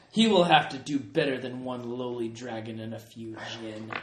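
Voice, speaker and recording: Someone performs a put-on character voice at a moderate pace, with big swings in loudness and audible echo. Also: man, medium pitch for a man. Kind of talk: grandiose in-character speech. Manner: proud, boastful.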